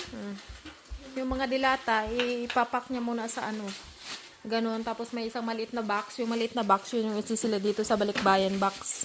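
There's noticeable background noise behind this woman. She speaks at a moderate pace with a fairly high pitch. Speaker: vlogger. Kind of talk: casual vlog talk. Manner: animated.

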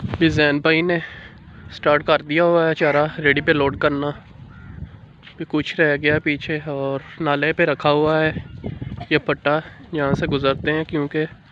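With long, frequent pauses, a man talks at a fairly slow pace, his dry sound carrying no echo over light background noise. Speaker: village vlogger. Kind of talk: casual vlog chat. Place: open country. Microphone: phone near.

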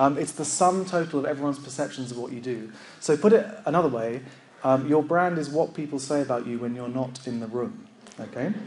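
Over light background noise, a man with a fairly high pitch speaks at a fairly quick pace with ordinary pitch variation. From UK. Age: 30s. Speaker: librarian and conference speaker. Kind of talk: conference talk. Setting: stage with audience. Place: hall.

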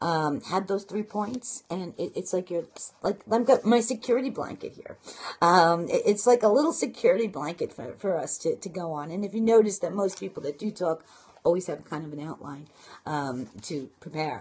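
A woman speaks in a Brooklyn accent with an animated tone. Her intonation is lively and her loudness swings widely. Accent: Brooklyn New York. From Brooklyn, New York. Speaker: internet marketing and blogging coach. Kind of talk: casual live broadcast talk with tips. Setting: live phone video broadcast. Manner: fast talker; animated, chatty. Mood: warm, encouraging.

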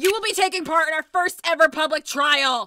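A female-sounding voice performs a loud, put-on character voice at an extremely high pitch for a woman. The pace is moderate. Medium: fan dub. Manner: loud, pushy, crude.

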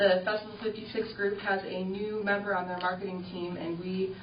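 Amid noticeable background noise and audible room echo, a woman keeps up a fairly quick pace. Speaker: city tourism director. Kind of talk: report to city council. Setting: city council meeting.

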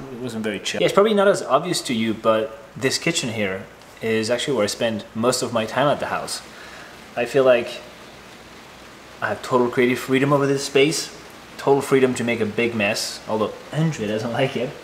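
A man talks at a fairly quick pace with ordinary pitch variation. Light background noise is present. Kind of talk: casual vlog chat. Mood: relaxed, enthusiastic. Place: kitchen.

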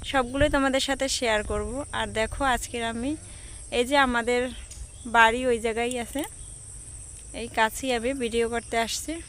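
This is a woman with a high voice. Her intonation is monotone and flat. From Bangladesh, Barisal. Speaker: vlogger. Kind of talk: vlog introduction to camera. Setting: outdoors.

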